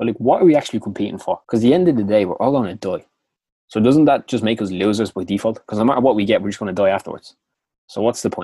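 On a very clean recording with a silent background, dry and close with no echo, a man with a Dublin accent speaks very fast at a medium pitch, with a dark, mellow tone and ordinary pitch variation. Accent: Dublin Irish. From Dublin, Ireland. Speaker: motivational podcast host. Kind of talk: scripted-style motivational talk. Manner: casual, upbeat, chatty.

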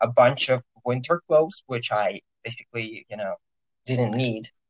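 A man with a Russian accent speaks at a medium pitch, the sound dry and close with no echo. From Russia (Orenburg). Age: 20s. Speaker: university student. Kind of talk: casual interview. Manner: hesitant, many fillers.

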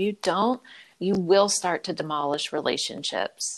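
In an ordinary speaking voice with ordinary pitch variation, a woman with an American accent talks at a moderate pace, recorded very cleanly against a silent background with a dry, close sound and no echo. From US, Philadelphia. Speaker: abuse survivor and advocate, podcast host. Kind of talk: interview, personal testimony.

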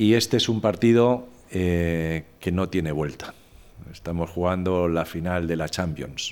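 This man's pitch is very deep and low, with ordinary variation. He speaks at a fairly slow pace. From Spain, Madrid. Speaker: former corporate executive and communicator. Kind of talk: podcast interview.

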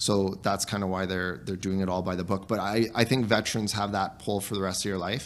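Speaking in an ordinary speaking voice with a Canadian accent, a man talks at a fairly quick pace with hardly any pauses, his fairly low pitch held in fairly even intonation. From Canada (small town, central Alberta area). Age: 30s. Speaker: town councillor and soldier. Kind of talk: casual interview.

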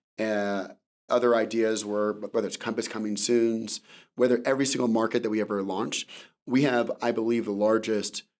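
A man's normal speaking voice, medium in pitch, with an American accent and fairly even intonation. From California. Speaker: tech company founder and CEO. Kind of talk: interview. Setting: studio.

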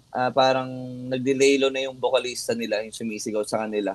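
Music plays behind a man speaking at a medium pitch. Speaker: metal band vocalist. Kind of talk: casual interview chat.

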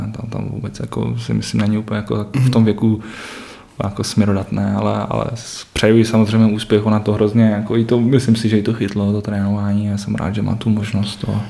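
Monotone, flat intonation at a fairly quick pace, over noticeable background noise. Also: man. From Czech Republic, Třinec (northern Moravia/Silesia). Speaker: youth ice hockey coach. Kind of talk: podcast interview.

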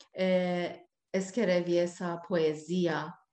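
A woman speaks at a very slow pace in a Persian accent. The background is quiet. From Iran. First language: Persian (speaking Portuguese). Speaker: singer. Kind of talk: interview. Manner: halting.

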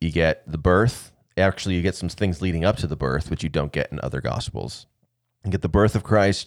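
A man with an American accent speaks at a very deep, low pitch with vocal fry. The recording is very clean, with a silent background. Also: ordinary pitch variation, fairly quick pace. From US Southwest desert, Arizona. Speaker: pastor. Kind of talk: casual chat. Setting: studio.

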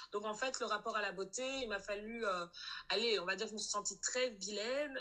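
A woman with a bright, sharp tone speaks at medium pitch and a moderate pace, keeping her intonation fairly even. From Belgium, Brussels. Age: 20s. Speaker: anti-racism activist. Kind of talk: testimony.

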